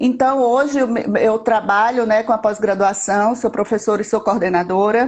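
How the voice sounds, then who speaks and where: A woman's fairly high voice at a moderate pace, with hardly any pauses, very even loudness and fairly even intonation over noticeable background noise. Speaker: psychologist and psychomotricity specialist. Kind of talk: live-stream interview.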